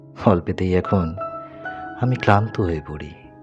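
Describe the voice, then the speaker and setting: A man with a very deep, low pitch, music playing behind him. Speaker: poet. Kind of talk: poetry reading.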